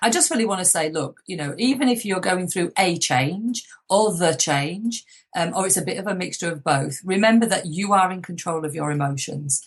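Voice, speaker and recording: At a fairly quick pace, a woman speaks with lively intonation at a fairly low pitch in a plain, everyday voice. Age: 50s. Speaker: motivational speaker and author. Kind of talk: interview.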